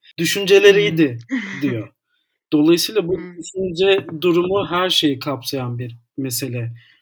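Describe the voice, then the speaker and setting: The pace is very slow. A man talks with a high pitch. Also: lively intonation. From Istanbul, Turkey. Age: 30s. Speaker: editor and psychology student. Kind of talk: casual interview chat.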